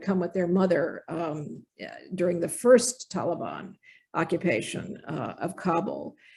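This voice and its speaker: The voice is somewhat breathy and dark and mellow in tone, moving at a fairly slow pace. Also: woman. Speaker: infectious disease physician, professor. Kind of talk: lecture.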